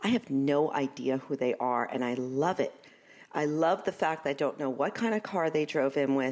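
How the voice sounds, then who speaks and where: A woman with a slight Brooklyn accent speaks at a moderate pace in a very deep, low voice with ordinary pitch variation. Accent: Brooklyn New York, slight. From Brooklyn, New York.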